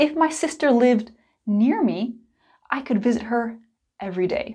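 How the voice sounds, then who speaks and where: A high-pitched woman's voice with lively intonation at a fairly slow pace, in a very clean recording with a silent background. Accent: American. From United States. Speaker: English teacher. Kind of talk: tutorial. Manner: clear and deliberate.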